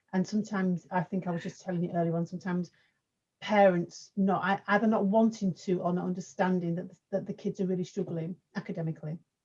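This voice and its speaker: The voice has a dark, mellow tone and is somewhat breathy. It runs at a very fast pace with monotone, flat intonation. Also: woman, medium pitch for a woman. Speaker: youth worker and panel host. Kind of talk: panel discussion. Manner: quiet.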